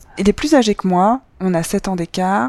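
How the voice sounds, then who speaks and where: A woman speaks at a fairly slow pace in a fairly low pitch with ordinary pitch variation, in a normal speaking voice. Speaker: storyteller sharing her love life. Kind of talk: personal testimony.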